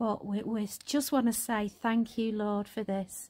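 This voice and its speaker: A woman with a northern English accent speaks at a fairly slow pace in a fairly high, somewhat breathy voice, on a very clean recording with a silent background. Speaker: vlogger. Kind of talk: casual vlog. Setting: at home. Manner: whispering.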